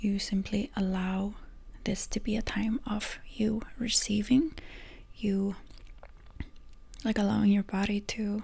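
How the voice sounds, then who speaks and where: A soft-spoken woman talks at medium pitch, somewhat breathy, with a gentle tone that is dark and mellow. Her intonation is fairly even, and she takes long, frequent pauses. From Iceland. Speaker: energy healer and ASMR creator. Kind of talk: ASMR energy healing session, soft-spoken. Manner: soft-spoken, gentle, minimal talking.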